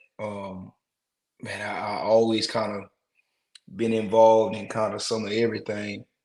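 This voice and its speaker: In an American accent, a man with a fairly low pitch talks at a moderate pace in a monotone, flat way, with long, frequent pauses and big swings in loudness. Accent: country twang. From US South, rural South Carolina (Rembert). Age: young. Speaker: musician. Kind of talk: interview. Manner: casual, filler-heavy.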